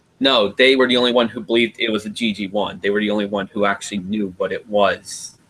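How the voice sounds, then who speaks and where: The speech comes at a very fast pace. There are hardly any pauses and the intonation is fairly even. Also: man, fairly low pitch for a man. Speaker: live stream host. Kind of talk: casual chat.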